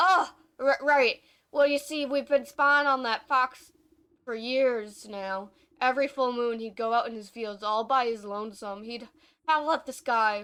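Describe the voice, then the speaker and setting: Putting on a gruff character voice, a woman speaks in a high pitch at a moderate pace on a very clean recording with a silent background. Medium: game stream. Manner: gruff, rough dialect.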